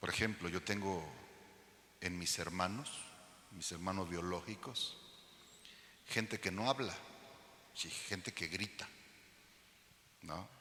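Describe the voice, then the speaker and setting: Amid audible room echo, a man with a very deep, low voice speaks very slowly, leaving long, frequent pauses and using ordinary pitch variation. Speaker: pastor. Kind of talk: sermon. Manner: loud; animated.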